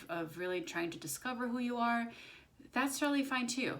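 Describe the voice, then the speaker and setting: The speaker's pitch swings very widely at a fairly quick pace, with audible room echo. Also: woman. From Brazil. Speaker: spiritual channeler and intuitive reader. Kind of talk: casual spiritual talk to camera. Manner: conversational, many fillers.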